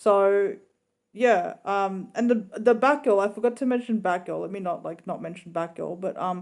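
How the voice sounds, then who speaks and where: A woman with an ordinary speaking voice at a moderate pace, ordinary pitch variation and big swings in loudness, on a very clean recording with a silent background. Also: medium pitch for a woman. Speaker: YouTuber reviewing trailers. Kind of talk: casual vlog review.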